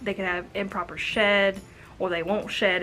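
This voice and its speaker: A woman talks with medium pitch. Her intonation is monotone and flat. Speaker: reptile care YouTuber. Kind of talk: tutorial. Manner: casual, chatty.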